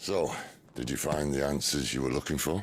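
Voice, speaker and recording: Putting on a character voice, a man speaks raspy and very deep and low, with ordinary pitch variation, very even loudness and a moderate pace. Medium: video game. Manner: dry, wry.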